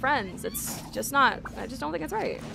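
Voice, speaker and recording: A woman uses a raised, projected voice with a high pitch and very wide pitch swings. Noticeable background noise is present. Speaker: gaming streamer. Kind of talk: casual livestream chat. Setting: livestream. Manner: fast; hesitant, many fillers. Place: home room. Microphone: studio mic.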